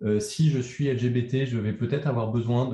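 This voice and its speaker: A man's voice sits at a medium pitch with fairly even intonation. It sounds somewhat breathy, with a dark, mellow tone. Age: 50s. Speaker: communication agency founder. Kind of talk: interview conversation. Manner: halting.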